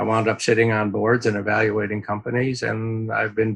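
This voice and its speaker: A man with an unremarkable speaking voice, medium pitch and a fairly quick pace. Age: 60s. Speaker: venture capital investor. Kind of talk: interview.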